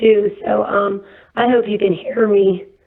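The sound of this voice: A woman speaks at a medium pitch and a fairly slow pace. Her voice has vocal fry and little pitch movement.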